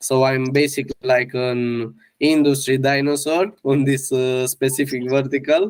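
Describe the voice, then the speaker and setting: A man speaks with a Romanian accent. His pace is fairly slow. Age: 30s. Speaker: media buyer. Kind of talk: interview podcast. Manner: halting, many fillers.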